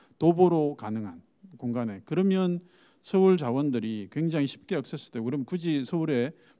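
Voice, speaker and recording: This man talks at a moderate pace in a fairly high pitch, with a dark, mellow tone. His intonation is lively, and the background is quiet. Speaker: startup foundation head; panelist. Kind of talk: panel discussion. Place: hall. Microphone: handheld.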